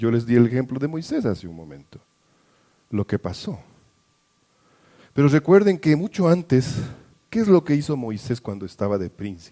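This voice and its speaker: Long, frequent pauses break up a man's dark, mellow speech, delivered at a moderate pace with very wide pitch swings and a dry, close sound with no echo. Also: medium pitch for a man. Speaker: pastor. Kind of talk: sermon. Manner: halting.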